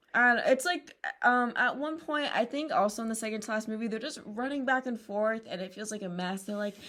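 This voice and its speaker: A woman talks at a fairly quick pace with a fairly high pitch. Her tone is bright and sharp, with ordinary pitch variation. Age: 18. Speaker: podcast co-host, pre-nursing student. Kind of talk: casual chat.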